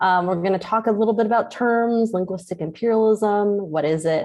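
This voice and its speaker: A woman with a Californian accent, at a moderate pace and with ordinary pitch variation. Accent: Californian American English. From US West Coast, San Francisco Chinatown. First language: Cantonese. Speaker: professor. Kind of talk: lecture. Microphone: unstable internet connection, cuts in and out.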